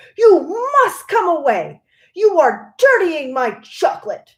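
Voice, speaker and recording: A growling put-on character voice, extremely high-pitched, with very wide pitch swings and a fairly slow pace. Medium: read story. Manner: excitable, fussy.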